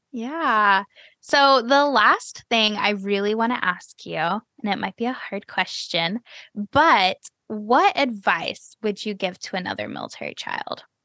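In an American accent, a woman with a fairly high pitch talks at a fairly slow pace, her bright, sharp tone and lively intonation heard in a dry, close sound with no echo over a quiet background. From US Midwest (Cleveland, Ohio). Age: 20s. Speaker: podcast host. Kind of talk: casual interview.

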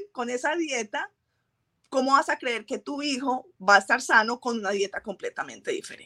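A woman with a high pitch speaks in a raised, projected voice at a moderate pace, her bright, sharp tone and lively intonation captured in a dry, close sound with no echo. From Colombia. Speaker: trichologist and microbiologist. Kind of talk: interview.

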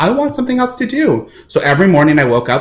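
Somewhat breathy, this voice with an American accent moves through very wide pitch swings. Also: man. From American Samoa. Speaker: opera singer. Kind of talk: interview. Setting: video call. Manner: halting.

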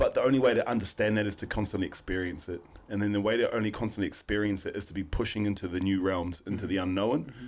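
In a New Zealand accent, the speaker talks very fast with hardly any pauses and fairly even intonation. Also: man, fairly low pitch for a man. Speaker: podcast co-host. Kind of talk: casual chat.

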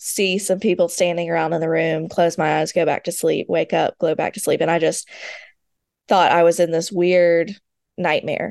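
The woman has an ordinary speaking voice, fairly low in pitch, at a moderate pace, with a dry, close sound and no echo. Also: quiet background. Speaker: author, speaker and foster parent. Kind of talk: interview about personal loss.

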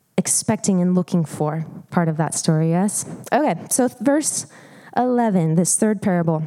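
The voice has a dark, mellow tone and an American accent. The delivery is fairly slow. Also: woman. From Montana. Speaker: preacher. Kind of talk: sermon. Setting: church. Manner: loud.

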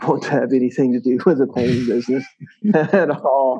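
A man with a strong Mississippi accent, fairly high in pitch, with a dark, mellow tone and ordinary pitch variation. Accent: Southern US (Mississippi), strong. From US South, South Mississippi. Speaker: pressure washing and window cleaning business owner. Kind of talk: casual interview chat.

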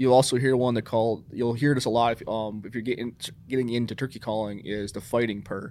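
A man speaks in an ordinary speaking voice with an American accent. His pitch is medium and his intonation fairly even. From New York State. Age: 30s. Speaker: hunter recruitment coordinator. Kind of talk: casual interview.

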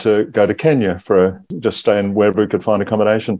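Speaking in an Australian accent, a man uses a dark, mellow tone at a fairly low pitch with fairly even intonation. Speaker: parent, guest. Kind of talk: casual interview.

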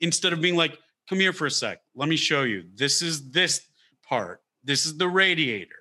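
In an American accent, the voice is bright and sharp with vocal fry and ordinary pitch variation. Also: man, fairly high pitch for a man, moderate pace. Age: 30s. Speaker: comedian. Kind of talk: casual chat. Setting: video call.

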